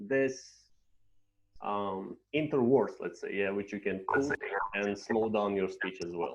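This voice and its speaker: Lively intonation marks this man's speech. He talks at a very slow pace. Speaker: English teacher trainer. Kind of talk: online training session. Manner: hesitant, frequent 'yeah' fillers.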